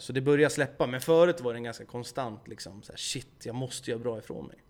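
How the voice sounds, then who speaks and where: This man talks at a very fast pace, his pitch varying in an ordinary way. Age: 20s. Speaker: YouTuber and gaming streamer. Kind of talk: casual chat.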